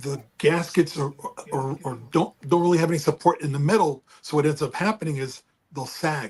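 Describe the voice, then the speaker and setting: Fairly high-pitched, somewhat breathy speech from a man, with ordinary pitch variation. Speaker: car enthusiast. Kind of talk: casual chat.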